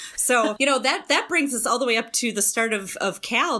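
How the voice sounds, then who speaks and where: With an unremarkable speaking voice, a woman talks at a fairly quick pace, her fairly high pitch moving with lively intonation. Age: 40s. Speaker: a cappella group founder and league president. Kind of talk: casual interview.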